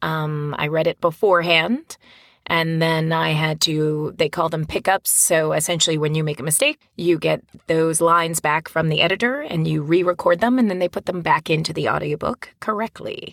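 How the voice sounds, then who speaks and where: A woman with an American accent, a plain, everyday voice, fairly low in pitch with ordinary pitch variation, at a moderate pace, in a dry, close sound with no echo. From New Jersey. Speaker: audiobook narrator and actor. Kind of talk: casual interview chat.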